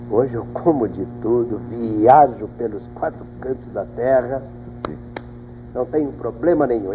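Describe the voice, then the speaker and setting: The man's delivery is fairly slow. Behind it lies a noticeable layer of background noise. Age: 60s. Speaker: pastor giving testimony. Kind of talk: testimony. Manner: animated.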